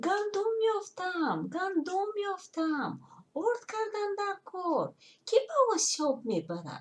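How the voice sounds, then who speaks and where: This woman's pitch is extremely high. She is performing a put-on character voice. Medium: read story.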